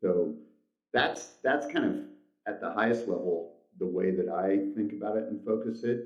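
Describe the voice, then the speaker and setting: Fairly low-pitched male speech at a moderate pace, with long, frequent pauses and audible room echo. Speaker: company CEO. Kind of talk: interview. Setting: shared office phone booth, video call. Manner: conversational, many fillers.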